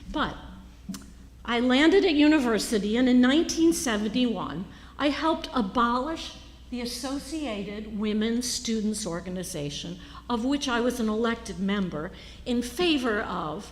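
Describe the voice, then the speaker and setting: A woman's fairly high voice in an American accent, swinging very widely in pitch at a moderate pace, with audible room echo. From United States. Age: 60s. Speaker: Episcopal priest. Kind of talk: sermon. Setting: church.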